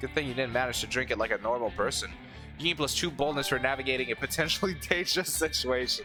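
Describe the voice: Over background music, a man with a medium pitch talks at a very fast pace, keeping very even loudness and ordinary pitch variation.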